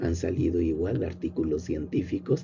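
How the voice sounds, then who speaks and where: Speaking with a Mexican accent, a man uses a very deep, low pitch with vocal fry at a fairly slow pace, and audible room echo fills the space. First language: Nahuatl (speaking Spanish). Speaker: professor and agronomist. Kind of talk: lecture. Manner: informal, with fillers and repetitions.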